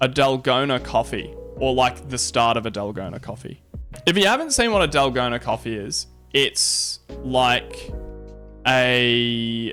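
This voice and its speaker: A man speaking at a fairly slow pace over background music. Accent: Australian. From Australia. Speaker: Twitch streamer. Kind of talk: casual live stream talk while making coffee. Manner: laid back.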